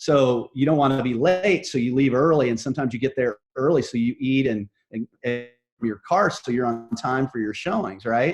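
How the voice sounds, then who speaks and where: He has a plain, everyday voice with ordinary pitch variation. The man's pitch is medium and his pace moderate. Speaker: real estate brokerage manager and coach. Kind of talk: interview.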